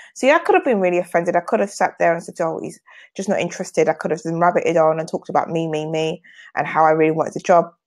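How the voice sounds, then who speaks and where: A woman with a British accent, fairly low-pitched, at a very fast pace with ordinary pitch variation, over a quiet background. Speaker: sales trainer and business owner. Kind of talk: live video sales training.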